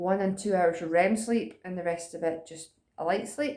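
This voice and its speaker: A woman speaks with a Scottish accent at a fairly low pitch. Her tone is dark and mellow. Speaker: vlogger. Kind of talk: casual chat. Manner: fast.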